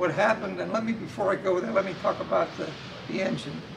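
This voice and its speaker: Rather fast talking, its pitch moving in an ordinary way, set against noticeable background noise. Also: man. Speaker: interviewee. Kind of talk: interview answer. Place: hall.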